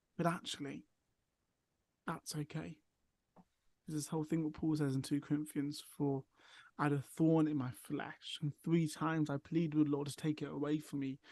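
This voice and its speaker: Against a quiet background, a man with an English accent speaks at a fairly high pitch in a dark, mellow tone, using monotone, flat intonation at a moderate pace with long, frequent pauses, and the sound is dry and close with no echo. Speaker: mental health charity worker. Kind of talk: casual chat.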